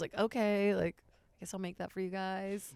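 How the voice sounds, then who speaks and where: A woman talks at a fairly quick pace and medium pitch. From Brazil (São Paulo), moved to Virginia at 11. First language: Portuguese. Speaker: stand-up comedian. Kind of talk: casual chat. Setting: podcast studio at comedy club.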